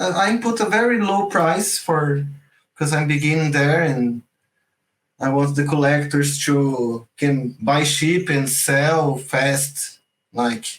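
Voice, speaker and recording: A man with a Portuguese accent speaks very slowly in a somewhat breathy voice, his intonation lively and his loudness very even. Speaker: generative art teacher. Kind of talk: online class. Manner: halting, repeats words.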